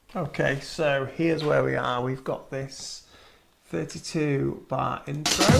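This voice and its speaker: The speech comes at a very slow pace. Noticeable background noise runs underneath. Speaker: music production tutor, DJ. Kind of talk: tutorial. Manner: casual, thinking aloud.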